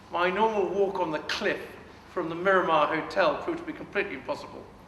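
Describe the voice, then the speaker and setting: Amid noticeable background noise and audible room echo, the voice moves at a fairly quick pace with ordinary pitch variation. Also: man. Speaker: politician. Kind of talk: public speech. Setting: public meeting with audience. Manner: loud.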